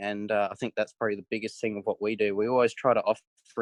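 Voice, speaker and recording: Quick-fire and very fast, a man speaks in a flat monotone at fairly low pitch with an Australian accent. The sound is dry and close with no echo, over a quiet background. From South Australia. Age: 20s. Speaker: racing driver. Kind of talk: interview answer.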